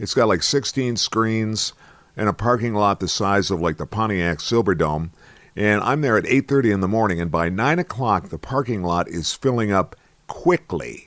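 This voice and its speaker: On a very clean recording with a silent background, a man with a fairly low pitch speaks at a moderate pace with lively intonation. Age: 60s. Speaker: radio host. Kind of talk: casual monologue. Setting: studio. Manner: animated.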